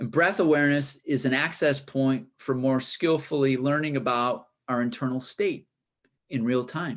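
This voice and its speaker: A man's fairly high voice at a moderate pace, fairly even in intonation, against a quiet background. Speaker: high school teacher and wellness speaker. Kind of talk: presentation.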